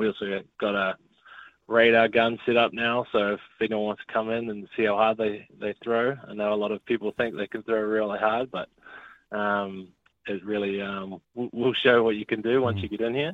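Flat, monotone intonation marks a man's fairly low voice as he talks at a moderate speed. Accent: New Zealand. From New Zealand, Auckland. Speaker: baseball player. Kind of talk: interview. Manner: hesitant, many fillers.

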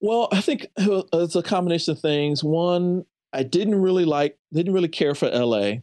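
Lively intonation from a high-pitched man with an American accent and a dark, mellow tone, at a moderate pace and very even loudness, in a dry, close sound with no echo against a quiet background. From US Midwest, St. Louis area. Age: 50s. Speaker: film professor and filmmaker. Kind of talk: casual interview. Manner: halting, repeats words.

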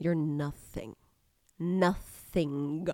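In a put-on character voice, a woman goes guttural and very deep and low in pitch, with a dramatic tone. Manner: dramatic, harsh, cutting.

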